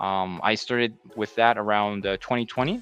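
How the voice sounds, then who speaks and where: A man's fairly low voice with a New Jersey accent at a fairly quick pace, music in the background. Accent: New Jersey American English. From US Northeast, New Jersey. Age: 30s. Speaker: English teacher. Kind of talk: conference presentation. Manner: hesitant, many fillers.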